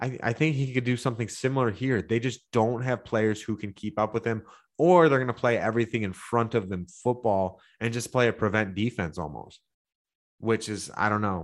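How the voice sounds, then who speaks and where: The speaker has an American accent and a moderate pace with ordinary pitch variation. The background is quiet. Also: man, medium pitch for a man. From Michigan (Livonia, Detroit area). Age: 30s. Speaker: sports betting analyst. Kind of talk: sports betting podcast breakdown.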